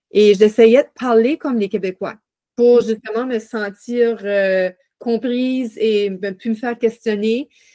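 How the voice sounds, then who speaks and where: Speaking very slowly in a dark, mellow tone, a woman with a fairly high pitch is heard in a dry, close recording with no echo. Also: fairly even intonation. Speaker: podcast host. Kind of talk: casual interview.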